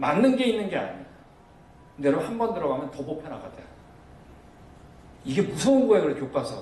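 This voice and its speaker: A man's voice with very wide pitch swings, amid noticeable background noise and audible room echo. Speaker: missionary lecturer on creation science. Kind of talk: lecture. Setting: church seminar with audience. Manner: fast; loud.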